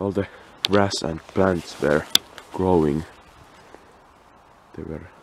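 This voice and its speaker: The speaker is quiet and talks at a very slow pace, with long, frequent pauses and fairly even intonation. The sound is dry with no echo, though there is noticeable background noise. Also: man, very deep, low pitch for a man. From Finland. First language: Finnish. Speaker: urban explorer, video creator. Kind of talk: casual walkthrough commentary. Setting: outdoors, abandoned property. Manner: quiet, hushed; halting, hesitant. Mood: curious, surprised. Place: open country. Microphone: phone near.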